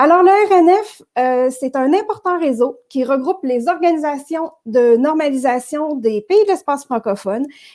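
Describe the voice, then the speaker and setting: With a Quebec accent, a woman speaks at a high pitch with lively intonation. Her pace is fairly slow, with hardly any pauses. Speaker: network director and host. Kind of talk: virtual interview show introduction. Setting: virtual broadcast. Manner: hesitant, many filler words.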